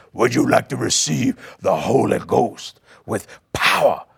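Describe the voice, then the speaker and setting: A man uses a gruff, put-on character voice. He talks at a fairly slow pace. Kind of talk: preacher-like.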